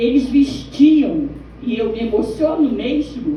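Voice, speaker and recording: Amid audible room echo, a woman speaks very slowly at high pitch with ordinary pitch variation. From Rio de Janeiro state, Baixada Fluminense. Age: 60s. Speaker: teacher, audience member asking a question. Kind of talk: audience question at a film screening Q&A. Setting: cinema screening event with audience.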